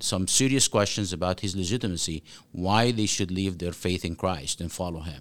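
In an Arabic accent, the speaker goes at a fairly quick pace with ordinary pitch variation on a very clean recording with a silent background. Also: man. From Egypt (Cairo). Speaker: author and former imam. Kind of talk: interview.

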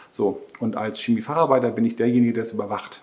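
Keeping his intonation fairly even, a man speaks very fast. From northern Germany, Schleswig-Holstein near Brunsbüttel. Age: 50s. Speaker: vocational training manager. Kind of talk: interview.

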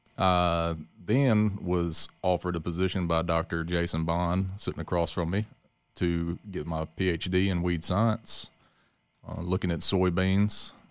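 A man's very deep, low voice in a Mississippi Delta accent, fairly slow and flat in monotone intonation, on a very clean recording with a silent background. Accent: Southern US (Mississippi Delta). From Mississippi Delta (Leland). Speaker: agricultural researcher. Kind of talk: casual chat.

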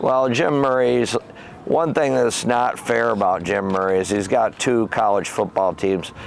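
A man speaks at a fairly slow pace with a Michigan accent, medium pitch, ordinary pitch variation and very even loudness over noticeable background noise. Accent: Michigan (Inland North) American. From Michigan, Howell area. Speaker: former football coach. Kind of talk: casual interview.

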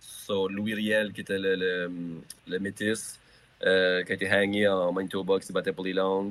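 The man's voice sits at a very deep, low pitch. His delivery is monotone and flat. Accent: New Brunswick Acadian. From Acadia, southeast New Brunswick. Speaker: musician. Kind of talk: casual chat. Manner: halting, repeats words.

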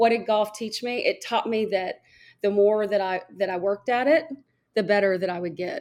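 A woman in a plain, everyday voice at a medium pitch, with lively intonation and a moderate pace, in a very clean recording with a silent background. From Arkansas, US South. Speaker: former golf TV reporter. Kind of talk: interview.

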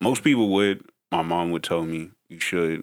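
His voice sits very deep and low, even for a man. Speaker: podcast host. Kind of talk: casual interview chat. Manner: laid back.

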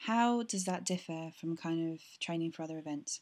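With a British accent, a woman speaks at a moderate pace in a dark, mellow tone with lively intonation, on a very clean recording with a silent background. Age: 20s. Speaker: podcast host interviewing athletes. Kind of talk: casual interview.

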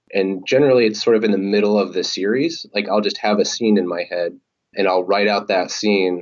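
A plain, everyday voice with an American accent carries fairly even intonation. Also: man, fairly low pitch for a man. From Oregon. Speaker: comic writer and sleep researcher. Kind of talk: interview.

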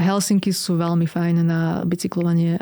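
The tone is dark and mellow, delivered in a flat monotone. The pace is moderate, and the sound is dry and close with no echo. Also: woman. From eastern Slovakia. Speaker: blogger and runner. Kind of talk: casual interview. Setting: studio.

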